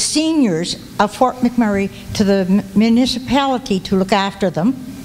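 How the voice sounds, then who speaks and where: Behind the speaker there is noticeable background noise. A woman talks with ordinary pitch variation. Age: 80s+. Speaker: audience member, senior citizen. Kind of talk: public comment at meeting. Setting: public meeting hall with audience.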